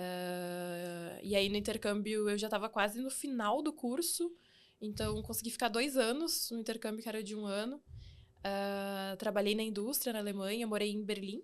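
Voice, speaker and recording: A woman with a normal speaking voice talks at a moderate pace, fairly high in pitch with ordinary variation, on a very clean recording with a silent background. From southern Brazil (Rio Grande do Sul, Santa Rosa). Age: 30s. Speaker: engineer and fintech founder. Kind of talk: podcast interview.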